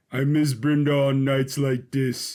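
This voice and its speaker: A man performs a put-on character voice at a medium pitch. His intonation is monotone and flat, and his pace fairly slow. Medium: audio drama. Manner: soft-spoken, melancholy.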